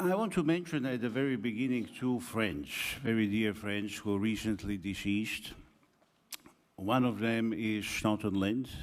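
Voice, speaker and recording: Heard with audible room echo, a man at a medium pitch speaks with very even loudness and ordinary pitch variation. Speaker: academic speaker. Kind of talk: conference talk. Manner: slow.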